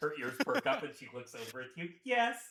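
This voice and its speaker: Putting on a strained character voice, a man talks at a fairly high pitch and a fairly quick pace, with very wide pitch swings and big swings in loudness. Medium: actual play. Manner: strained, through gritted teeth.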